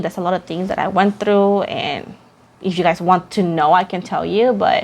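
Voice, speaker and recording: A woman with a Puerto Rican accent talks at a medium pitch. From Puerto Rico. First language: Spanish. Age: 20s. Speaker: tarot reader. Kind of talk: casual chat.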